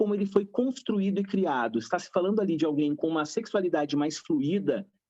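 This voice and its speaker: A man with a high pitch talks at a fairly quick pace with lively intonation. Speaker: psychologist. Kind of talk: panel discussion. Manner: animated.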